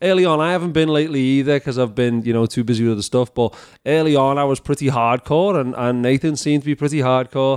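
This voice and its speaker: With a Scouse accent, the speaker talks at a very fast pace with hardly any pauses, very even loudness and ordinary pitch variation, the sound dry and close with no echo over a quiet background. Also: man, fairly high pitch for a man. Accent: Scouse (Liverpool English). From England, Liverpool. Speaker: professional speaker and leadership coach. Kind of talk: casual interview chat.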